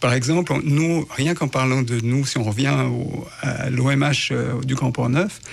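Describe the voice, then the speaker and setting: Vocal fry in a man's medium-pitched voice, with ordinary pitch variation. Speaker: housing search support worker. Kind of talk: radio interview. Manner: hesitant, many fillers.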